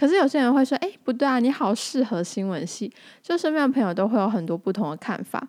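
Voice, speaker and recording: A woman's high voice at a very fast pace with very wide pitch swings, on a very clean recording with a silent background. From Tainan, Taiwan (Anping). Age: 20s. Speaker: podcast host. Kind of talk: casual monologue.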